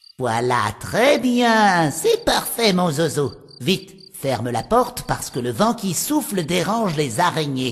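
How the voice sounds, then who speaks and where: A woman's put-on character voice, fairly low in pitch, with very wide pitch swings and a fairly slow pace. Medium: read story. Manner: theatrical, incantatory.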